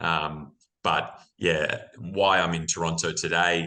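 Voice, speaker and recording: A bright, sharp tone comes through against a quiet background. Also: man. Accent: Australian. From Australia. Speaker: mining executive. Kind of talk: interview. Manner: many fillers and repetitions.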